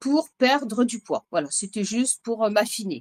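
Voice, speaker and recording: This woman has a normal speaking voice, fairly high in pitch, with ordinary pitch variation and a fairly slow pace. Her audio is dry and close, with no echo. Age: 60s. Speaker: bodybuilding client, manager. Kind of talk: interview testimony.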